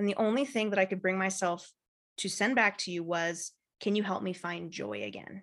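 In an American accent, a woman with an unremarkable speaking voice talks at a moderate pace and medium pitch, her intonation fairly even against a quiet background. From California. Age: 30s. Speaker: marketing firm owner and coach. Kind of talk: casual chat.

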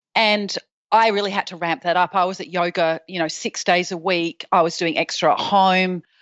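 Someone with an Australian accent talks at a moderate pace with fairly even intonation against a quiet background. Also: woman, medium pitch for a woman. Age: 40s. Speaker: patient sharing her story. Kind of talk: interview.

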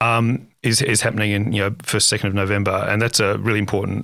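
This man has a fairly low pitch and fairly even intonation, with an ordinary speaking voice. The recording is very clean, with a silent background. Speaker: AI research institute executive. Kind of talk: interview conversation. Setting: studio.

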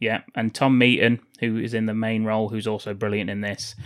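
A man's medium-pitched voice with an English accent and monotone, flat intonation, in a very clean recording with a silent background. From England. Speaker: podcast co-host. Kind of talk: casual chat.

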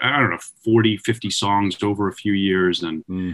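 With an American accent and an unremarkable speaking voice, a man speaks at a moderate pace and a fairly low pitch. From Long Island, New York. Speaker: musician, band leader. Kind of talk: interview.

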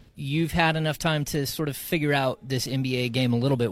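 A man at a very fast pace, fairly even in intonation, amid noticeable background noise. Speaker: co-interviewer. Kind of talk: interview.

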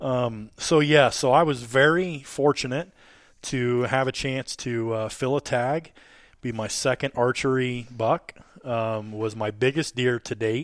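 An unremarkable speaking voice from a man, medium in pitch with fairly even intonation at a fairly slow pace, on a very clean recording with a silent background. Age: 30s. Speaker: hunting podcast host. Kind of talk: casual chat. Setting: hunting camp.

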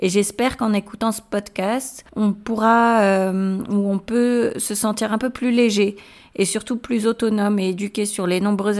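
Fairly slow speech with fairly even intonation on a very clean recording with a silent background. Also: woman. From Morocco and France. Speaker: parenting podcast host. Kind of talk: solo podcast monologue.

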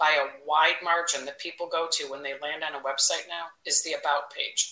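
With a Chicago accent, a woman talks at a moderate pace. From Chicago, Northwest side. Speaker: marketing executive. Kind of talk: interview. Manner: blunt, direct.

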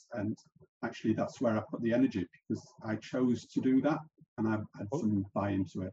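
A man speaks at a fairly quick pace and medium pitch, somewhat breathy with a dark, mellow tone, ordinary pitch variation, and long, frequent pauses. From South Africa, moved to UK as a child. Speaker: podcast host. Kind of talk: interview, being interviewed.

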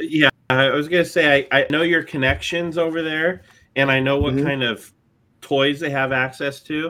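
A man talks at a moderate pace with a fairly high pitch and fairly even intonation. It is a normal speaking voice. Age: 40s. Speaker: podcast co-host, detailer. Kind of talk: casual chat.

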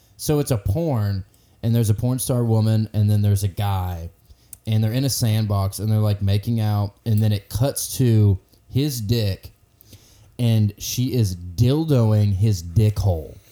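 A dark, mellow voice with a Southern US accent moves at a fairly slow pace. The loudness stays very even throughout. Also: man, fairly low pitch for a man, ordinary pitch variation. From US South, north Georgia. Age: 20s. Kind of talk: casual chat.

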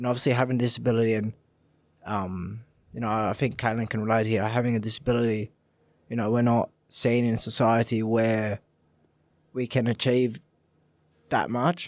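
On a very clean recording with a silent background, a man with an Australian accent speaks at a moderate pace, flat and monotone, with long, frequent pauses. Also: medium pitch for a man. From Australia, Italian family. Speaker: para footballer. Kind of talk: casual chat.

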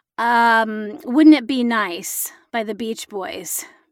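A woman talks in an American accent at a fairly high pitch. The recording is very clean, the background silent. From Illinois, Galesburg. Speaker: actor and voice actor. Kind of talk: casual chat.

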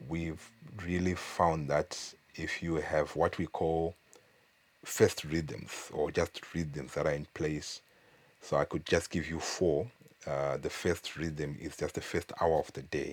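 The delivery is very slow, with monotone, flat intonation. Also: man, very deep, low pitch for a man. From Zimbabwe. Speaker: church leader and leadership trainer. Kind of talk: interview conversation.

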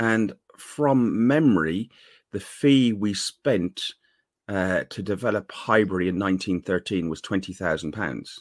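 In an Irish accent, a man speaks at a very slow pace with a fairly low pitch and ordinary pitch variation. The sound is dry and close, with no echo. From Ireland. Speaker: fan podcaster. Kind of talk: casual chat. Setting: video call.

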